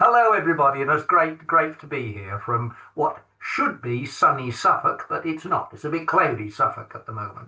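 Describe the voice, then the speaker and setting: The speaker talks with an English accent, the loudness swinging widely. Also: man, moderate pace. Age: 60s. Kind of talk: podcast interview. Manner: halting, many fillers.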